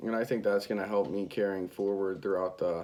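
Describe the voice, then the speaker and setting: This man's voice sits at a fairly low pitch. His intonation stays fairly even. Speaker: college student. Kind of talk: self-critique monologue. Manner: monotone; mumbling.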